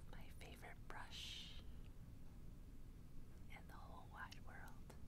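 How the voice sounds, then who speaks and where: The speech moves at a very slow pace. Loud background noise runs throughout. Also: woman. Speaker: ASMR creator. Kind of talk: ASMR sleep roleplay. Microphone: phone near.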